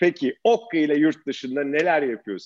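With a dry, close sound and no echo, a man in a normal speaking voice talks at a moderate pace and a fairly high pitch. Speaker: podcast host. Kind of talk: interview.

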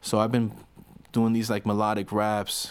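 A man with a South Florida accent speaks at a fairly low pitch. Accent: South Florida American. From Miami, Florida. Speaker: rapper. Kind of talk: casual interview chat.

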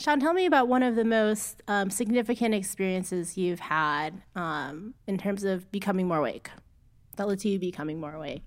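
A woman's medium-pitched voice with a Midwestern US accent, lively intonation and a moderate pace, on a very clean recording with a silent background. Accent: General American, Midwest. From US Midwest, Cleveland area. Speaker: podcast co-host. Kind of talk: casual chat. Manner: hesitant with many fillers.

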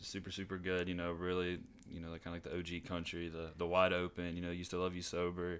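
A man with an American accent, very deep and low in pitch, monotone and flat, at a very fast pace. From southeastern Ohio (Gallia). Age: 20s. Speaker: photographer and videographer. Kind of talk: casual chat.

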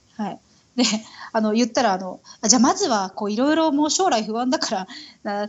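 This woman has a fairly high voice that swings very widely in pitch. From Tokyo, Japan (Itabashi ward). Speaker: Japanese expat mother. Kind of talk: casual interview chat.

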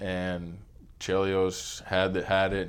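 An American accent from a man with a very deep, low voice and audible room echo. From Pittsburgh, US. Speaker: hockey equipment manager. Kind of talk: casual interview.

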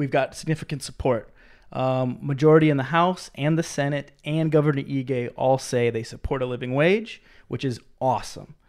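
In a plain, everyday voice, a man with a fairly high pitch talks at a moderate pace on a very clean recording with a silent background. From Minnesota. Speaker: living wage advocate. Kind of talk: casual chat.

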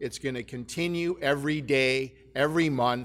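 On a very clean recording with a silent background, a man with an ordinary speaking voice talks at a fairly slow pace, his fairly high pitch showing ordinary pitch variation. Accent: Canadian. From southern Ontario, Canada. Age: 60s. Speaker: mining company executive. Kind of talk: keynote speech.

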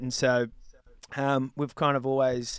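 Heard on a very clean recording with a silent background, a man with an Australian accent speaks at a moderate pace in a monotone, flat intonation. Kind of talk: casual interview.

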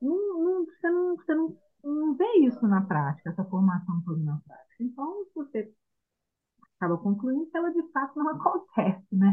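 A woman's high-pitched voice with very wide pitch swings, at a moderate pace. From Minas Gerais, Brazil. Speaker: homeschooling mother, trained pedagogue. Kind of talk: interview.

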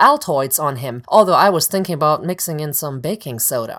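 A woman rushes along at a very fast pace while background noise is noticeable. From Germany. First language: German. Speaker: actress and podcast host. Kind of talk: personal storytelling monologue.

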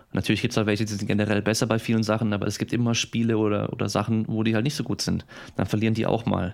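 Very fast and monotone with flat intonation, a man speaks at a fairly low pitch and very even loudness. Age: 30s. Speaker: sports scientist and athletic trainer. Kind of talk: casual interview.

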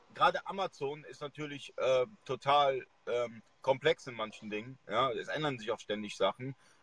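A man talks at a moderate pace with hardly any pauses and big swings in loudness. The sound is dry and close, with no echo. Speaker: e-commerce livestream host. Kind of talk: live video interview. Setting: live video stream at a university. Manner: hesitant, many filler sounds.

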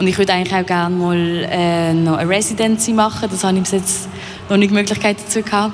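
A woman with a Basel accent speaks at a very fast pace in a flat, monotone delivery, with noticeable background noise and audible room echo. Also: medium pitch for a woman. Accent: Basel Swiss German. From Basel, Switzerland. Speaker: painter. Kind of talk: radio interview. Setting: live at exhibition hall.

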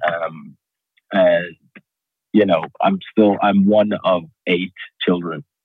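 In a slight Irish accent, a man speaks at a very slow pace with long, frequent pauses. His pitch is very deep and low, and his intonation is monotone and flat. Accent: Irish-tinged English. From Qatar, raised partly in Dublin. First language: Arabic. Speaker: stand-up comedian and entrepreneur. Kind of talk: podcast interview.

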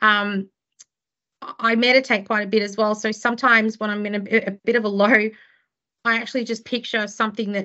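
The pace runs fairly quick. It is delivered in an Australian accent. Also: woman. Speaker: criminal lawyer and law firm director. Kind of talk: interview conversation. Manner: chatty, extroverted.

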